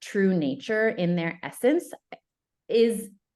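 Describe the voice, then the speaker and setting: A woman with an American accent talks at a very slow pace with lively intonation. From upstate New York. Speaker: love coach. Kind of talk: casual chat.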